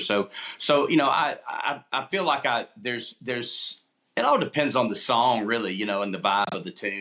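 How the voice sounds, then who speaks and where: This man talks with an Alabama accent and a bright, sharp tone. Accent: Southern US (Alabama). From Opelika, Alabama. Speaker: country musician. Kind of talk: interview answer. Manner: casual, relaxed.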